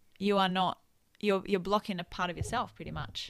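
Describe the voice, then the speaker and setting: This woman speaks with an Italian accent in a bright, sharp tone. The recording is very clean, with a silent background. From Italy. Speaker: nutritionist and kinesiologist. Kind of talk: casual chat.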